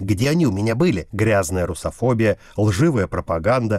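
A man's normal speaking voice, fairly low in pitch with lively intonation, on a very clean recording with a silent background. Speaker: international affairs commentator. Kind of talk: scripted narration.

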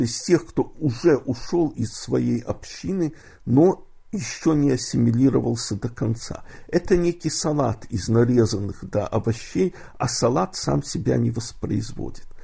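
At a fairly slow pace, a man with a medium-pitched, dark, mellow voice and vocal fry speaks with lively intonation. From Odessa, Ukraine. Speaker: poet. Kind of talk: interview.

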